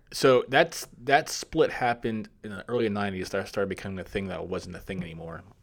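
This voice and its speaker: In a normal speaking voice, a man talks at a fairly quick pace with a fairly low pitch, lively intonation and big swings in loudness, on a very clean recording with a silent background. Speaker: film podcast host. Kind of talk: casual chat.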